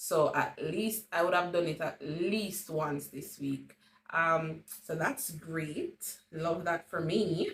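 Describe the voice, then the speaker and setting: Somewhat breathy and fairly low in pitch, a woman in a Jamaican accent talks at a very slow pace with ordinary pitch variation. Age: 30s. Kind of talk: casual talk to camera.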